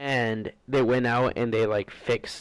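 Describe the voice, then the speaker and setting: This man talks at a fairly slow pace with monotone, flat intonation. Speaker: gaming YouTuber. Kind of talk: casual rant over gameplay.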